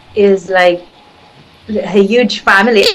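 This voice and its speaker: A woman speaks with a Filipino accent at a medium pitch and a fairly slow pace. Her pitch varies in an ordinary way, and there is noticeable background noise. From Philippines. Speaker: spiritual healer. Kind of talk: interview. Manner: halting.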